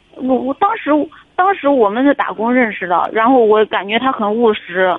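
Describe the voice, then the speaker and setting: Noticeable background noise sits under a woman speaking at a moderate pace with ordinary pitch variation. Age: 30s. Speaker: caller seeking marriage advice. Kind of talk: call-in advice conversation. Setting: phone call. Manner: halting, many fillers and repetitions.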